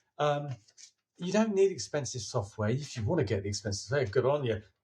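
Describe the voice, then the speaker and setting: The voice has very wide pitch swings. Vocal fry runs through it. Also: man. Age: 60s. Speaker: filmmaker. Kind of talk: interview. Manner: halting.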